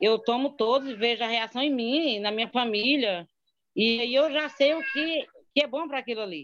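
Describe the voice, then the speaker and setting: Ordinary pitch variation and a moderate pace from a woman with a high pitch. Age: 40s. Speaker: former guesthouse owner and distributor. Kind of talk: testimony.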